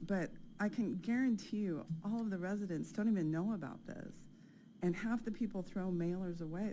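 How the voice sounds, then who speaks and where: A shaky voice with an American accent and a dark, mellow tone speaks at a moderate pace with ordinary pitch variation, with audible room echo. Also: woman. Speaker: resident making public comment. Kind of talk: public comment.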